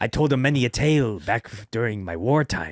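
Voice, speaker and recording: Using a put-on character voice, a man at medium pitch speaks at a fairly quick pace in a very clean recording with a silent background. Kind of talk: pirate talk. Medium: actual play. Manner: folksy, storytelling.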